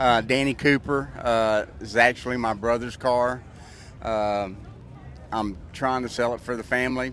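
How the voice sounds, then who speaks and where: Speaking at a fairly slow pace, a man uses a medium pitch. His intonation stays fairly even. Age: 60s. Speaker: car owner. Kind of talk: casual interview. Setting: outdoors at a car show. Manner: halting, many fillers.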